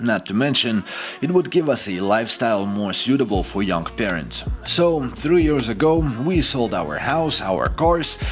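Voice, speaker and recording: With a Ukrainian accent, a man at medium pitch talks at a moderate pace, his pitch swinging very widely over music in the background. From Ukraine. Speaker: expat vlogger. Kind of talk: scripted narration.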